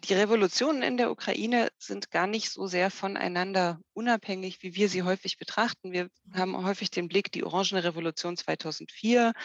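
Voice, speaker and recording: This woman has a normal speaking voice. She talks at a moderate pace with a medium pitch. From Germany, Harz region (Saxony-Anhalt). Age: 40s. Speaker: political sociologist. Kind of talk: interview. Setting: remote call.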